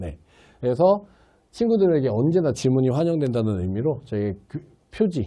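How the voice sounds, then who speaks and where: A man with a dark, mellow tone and medium pitch talks at a moderate pace. His pitch swings very widely, and he takes long, frequent pauses. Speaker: science tutor at a cram school. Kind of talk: course orientation talk. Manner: strong, blunt speaking style.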